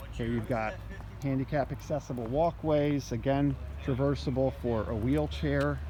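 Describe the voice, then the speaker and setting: A man with a fairly low pitch speaks at a moderate pace. His pitch swings very widely, and the room echo is audible. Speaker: school administrator giving project update. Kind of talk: walking video tour.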